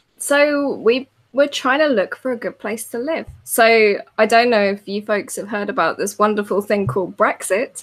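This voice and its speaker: A woman with a British accent talks at a moderate pace and fairly high pitch, with ordinary pitch variation and big swings in loudness. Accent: very British. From England. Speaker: designer and author. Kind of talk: casual interview chat.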